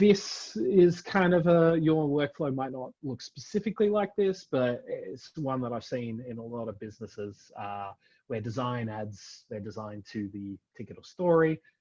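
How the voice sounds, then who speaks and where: A man with an Australian accent speaks at a fairly slow pace, with very wide pitch swings and big swings in loudness. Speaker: front-end software architect. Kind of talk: tech talk presentation. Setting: virtual event. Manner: many fillers (um, uh).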